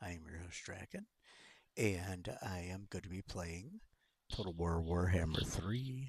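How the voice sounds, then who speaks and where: Soft-spoken and somewhat breathy, a man with a very deep, low pitch speaks at a fairly slow pace with ordinary pitch variation. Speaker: gaming streamer. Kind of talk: gameplay commentary. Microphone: quiet, may need volume up.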